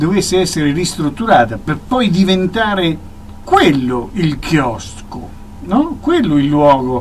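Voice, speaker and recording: A man at a fairly slow pace, with very wide pitch swings and light background noise. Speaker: radio guest. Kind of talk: interview answer. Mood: argumentative, explaining. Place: studio. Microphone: studio mic.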